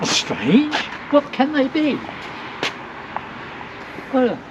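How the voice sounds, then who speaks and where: A man talks against noticeable background noise. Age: old. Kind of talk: interview answer.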